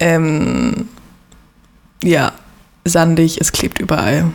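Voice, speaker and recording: Behind a woman's fairly low voice sits noticeable background noise. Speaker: podcast guest. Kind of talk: casual interview about faith and life.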